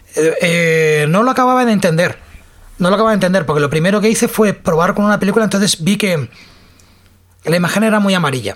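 Woman at medium pitch, somewhat breathy, very fast pace, ordinary pitch variation and very even loudness. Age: 40s. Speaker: podcast host. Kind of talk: casual chat.

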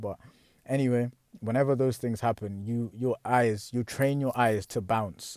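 The recording is very clean, with a silent background and a dry, close sound with no echo. A man talks in a dark, mellow tone. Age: 20s. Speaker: podcast host. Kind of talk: personal monologue. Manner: halting, many fillers.

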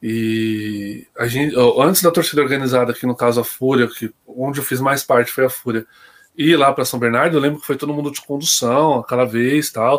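At a moderate pace, a man talks in an ordinary speaking voice, pitched in the medium range and varying it in an ordinary way. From Greater São Paulo (ABC region), Brazil. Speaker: football supporter. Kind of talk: casual chat. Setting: online live stream.

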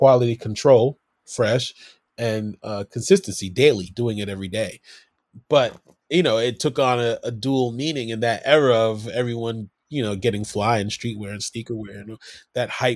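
With an American accent and a normal speaking voice, the speaker talks at a moderate pace with ordinary pitch variation and big swings in loudness, in a dry, close, echo-free sound on a very clean recording with a silent background. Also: man. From Brooklyn, New York. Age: 40s. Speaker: hip-hop artist. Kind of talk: casual interview.

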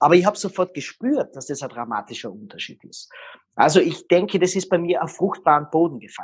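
This man's high voice carries lively intonation and big swings in loudness. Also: fairly quick pace. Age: 40s. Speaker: body language expert. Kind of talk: interview.

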